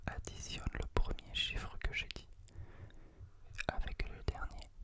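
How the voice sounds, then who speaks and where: Whispering at a very slow pace carries over noticeable background noise. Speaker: ASMR creator. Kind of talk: ASMR close-whispered guided relaxation, giving instructions to the listener. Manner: whispered, soft, slow.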